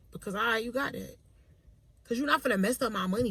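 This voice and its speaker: Very fast, animated speech from a woman at a fairly high pitch. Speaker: vlogger. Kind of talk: casual monologue. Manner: loud.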